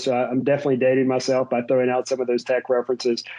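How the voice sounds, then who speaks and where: With a slight West Virginia accent, a man speaks at a medium pitch. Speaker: tech executive and army veteran. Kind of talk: interview.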